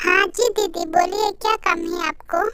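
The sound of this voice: In a squeaky, cartoonish character voice with an extremely high pitch, a woman speaks at a moderate pace with fairly even intonation against loud background noise.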